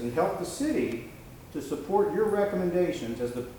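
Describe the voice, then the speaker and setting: Over noticeable background noise and audible room echo, a man speaks fairly slowly in a high pitch, his voice making very wide pitch swings. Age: 50s. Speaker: defense attorney. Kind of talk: cross-examination at a hearing. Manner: confrontational.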